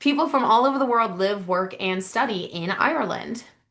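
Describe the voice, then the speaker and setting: A woman talks fairly quickly with an American accent and lively intonation. Her fairly high voice has a bright, sharp tone. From United States. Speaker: university admissions representative. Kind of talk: information session presentation.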